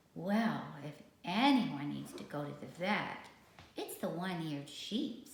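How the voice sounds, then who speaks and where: In a put-on character voice, a female-sounding speaker talks at a fairly slow pace with a medium pitch and slight echo. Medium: read story. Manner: soothing, hopeful.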